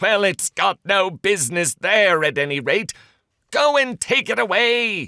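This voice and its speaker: Using a put-on character voice, the speaker holds a middle pitch at a moderate pace. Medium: read story. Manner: impatient, commanding.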